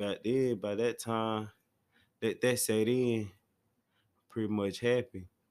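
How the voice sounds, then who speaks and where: On a very clean recording with a silent background, a man speaks at a fairly slow pace with long, frequent pauses. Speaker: monologue speaker answering a prompt. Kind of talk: casual monologue.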